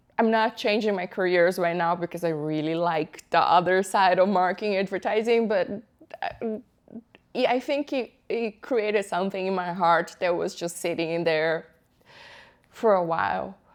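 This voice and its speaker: Pausing long and often, a woman speaks at a medium pitch and moderate pace with ordinary pitch variation. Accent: strong Brazilian. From Brazil, São Paulo. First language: Portuguese. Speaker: tech project manager. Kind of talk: interview.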